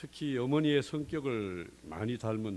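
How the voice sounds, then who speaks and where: The speech comes at a very slow pace in a Gyeongsang accent. The intonation is lively. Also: man. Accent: Gyeongsang dialect, still present. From South Korea, Daegu (Gyeongsang). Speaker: recovering gambling addict. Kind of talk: testimony.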